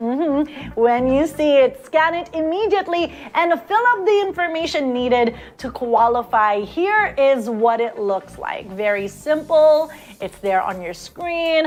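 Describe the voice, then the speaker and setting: A woman's high-pitched, animated voice at a fairly slow pace, with very wide pitch swings and noticeable background noise. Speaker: online event host. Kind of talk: live web show hosting.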